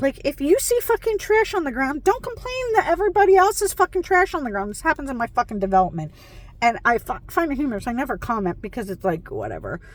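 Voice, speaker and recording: Loud and with very wide pitch swings, a woman speaks over noticeable background noise. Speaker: self-help vlogger. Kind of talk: motivational monologue. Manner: animated.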